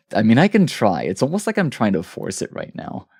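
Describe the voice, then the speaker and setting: In a very clean recording with a silent background, a man does a strained, put-on character voice at a medium pitch and a fairly quick pace. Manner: strained, forced.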